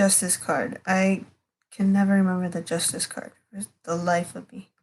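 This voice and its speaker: A woman talks at a moderate pace with fairly even intonation. Her voice is somewhat breathy, and its loudness swings widely. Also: medium pitch for a woman. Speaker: tarot reader streamer. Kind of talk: casual livestream tarot reading. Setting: livestream at home at night. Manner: whispering; halting, filler-heavy.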